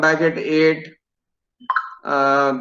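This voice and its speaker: Speaking at a very slow pace, a man has a fairly high pitch and a monotone, flat intonation. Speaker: engineering student. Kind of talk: mock job interview. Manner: halting.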